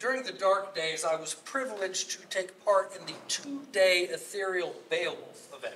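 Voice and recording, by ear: The clip is reading aloud in a natural voice. Its intonation moves in a lively way.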